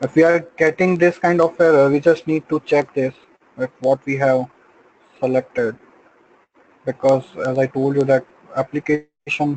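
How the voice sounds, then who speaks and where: A man speaks with fairly even intonation and long, frequent pauses. The sound is dry and close, with no echo. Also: fairly high pitch for a man. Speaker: software trainer. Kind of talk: tutorial. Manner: slow.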